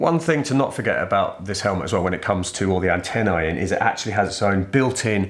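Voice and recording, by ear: A man with a low pitch and a fairly bright tone speaks with lively intonation.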